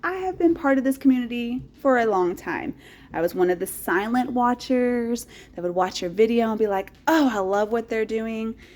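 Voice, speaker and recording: An upbeat woman's high voice in an East Texas accent, at a moderate pace. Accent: East Texas Southern American. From rural East Texas. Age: 40s. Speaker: teacher. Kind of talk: casual talk to camera. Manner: upbeat, chatty.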